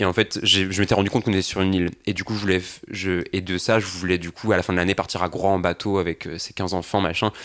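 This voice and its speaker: Very fast and monotone, a man speaks with a flat delivery in a very deep, low voice. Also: very clean recording, silent background. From Brittany, France (Saint-Gravé). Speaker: volunteer educator. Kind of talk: casual panel discussion. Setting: radio studio, live broadcast.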